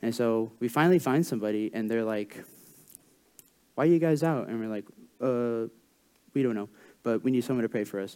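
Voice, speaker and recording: The tone is dark and mellow. A man delivers it at a fairly quick pace. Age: 20s. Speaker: student intern preaching at church. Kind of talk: sermon. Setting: church. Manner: informal with many fillers.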